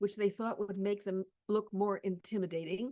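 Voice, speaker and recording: A woman with a Canadian accent speaks in a dark, mellow tone. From Canada, Toronto. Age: 80s+. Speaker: lecturer and museum curator. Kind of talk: lecture.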